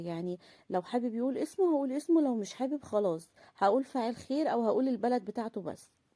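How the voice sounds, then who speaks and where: Dark and mellow in tone, the voice has lively intonation and a fairly quick pace, captured on a very clean recording with a silent background and a dry, close sound with no echo. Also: woman. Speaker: charity vlogger. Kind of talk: casual vlog talk. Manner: halting.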